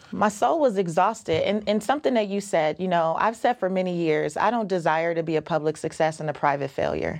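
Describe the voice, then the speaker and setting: A woman with a normal speaking voice talks at a fairly quick pace and fairly low pitch, with ordinary pitch variation and hardly any pauses. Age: 40s. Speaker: personal finance author and podcaster. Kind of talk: casual interview.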